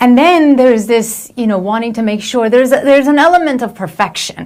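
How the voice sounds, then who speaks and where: With a non-native accent, a woman speaks at a fairly high pitch. Her intonation is lively. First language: not English. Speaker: motivational speaker and coach. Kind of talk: reflective video monologue. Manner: hesitant, many fillers and restarts.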